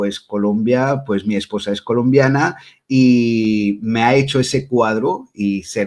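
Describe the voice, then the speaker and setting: A man talks very slowly, and his pitch moves in an ordinary way. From Belgium, Brussels, Spanish parents. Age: 40s. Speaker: witch and tarot reader. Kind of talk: interview.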